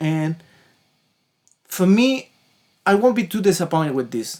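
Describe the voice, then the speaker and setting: With a Chilean accent, a man talks at a fairly slow pace. His pitch is high, and his intonation is lively. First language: Spanish. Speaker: musician and gear reviewer. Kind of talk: gear demo review. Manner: casual, some halting restarts.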